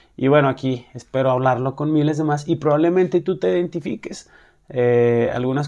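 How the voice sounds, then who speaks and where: A man at a fairly quick pace with a fairly high pitch, a dark, mellow tone and ordinary pitch variation. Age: 30s. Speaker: podcast host, single father. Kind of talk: casual monologue. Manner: hesitant, many fillers.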